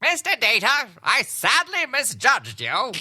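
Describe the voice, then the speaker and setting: This is a put-on character voice with a high pitch. The pace is moderate. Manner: flamboyant, over the top.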